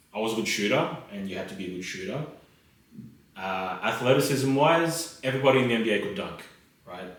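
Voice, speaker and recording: A man with an Australian accent at a very fast pace, with lively intonation, big swings in loudness, and long, frequent pauses, amid audible room echo and noticeable background noise. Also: medium pitch for a man. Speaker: lawyer. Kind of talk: casual chat.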